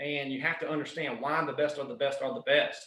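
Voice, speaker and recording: A man speaks in a Southern US accent at a moderate pace. His pitch is fairly high. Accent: Southern US twang. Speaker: strength and conditioning coach. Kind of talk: podcast interview answer.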